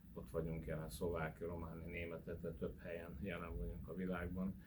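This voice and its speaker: Audible room echo surrounds a man's very deep, low voice with vocal fry. His pace is moderate. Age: 60s. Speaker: spiritual church leader. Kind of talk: interview. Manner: hesitant fillers.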